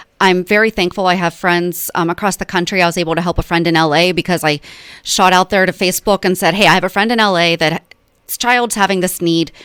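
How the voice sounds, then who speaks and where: Speaking at a very fast pace in a Pennsylvania accent, a woman keeps a medium pitch and fairly even intonation. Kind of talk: radio interview. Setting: radio studio. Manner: casual with fillers.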